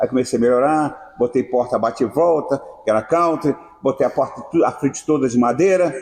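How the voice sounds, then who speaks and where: Over noticeable background noise, a man with a fairly high voice speaks at a fairly quick pace, with very even loudness and ordinary pitch variation. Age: 70s. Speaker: party venue owner. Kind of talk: interview. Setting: at his party venue. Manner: animated.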